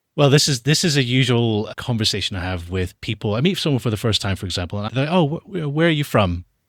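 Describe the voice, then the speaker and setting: Delivered in an American accent at a very fast pace, the speech has hardly any pauses and very wide pitch swings. The recording is very clean, with a silent background. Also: man, medium pitch for a man. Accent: soft Scottish lilt, international. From international upbringing (Australia, Dubai, Texas). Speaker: documentary filmmaker. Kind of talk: interview conversation.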